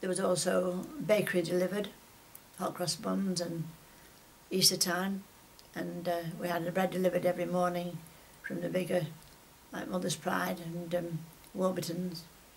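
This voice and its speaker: Over noticeable background noise, a woman speaks at a moderate pace in a fairly low pitch, monotone and flat, with long, frequent pauses. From northern England, Whitefield near Manchester. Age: 80s+. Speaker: retired shopkeeper. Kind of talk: oral history interview. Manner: halting, many fillers.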